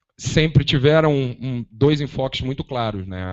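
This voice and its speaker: Speaking at a moderate pace with ordinary pitch variation, a man has an ordinary speaking voice. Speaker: activist. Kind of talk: panel debate talk. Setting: auditorium with audience.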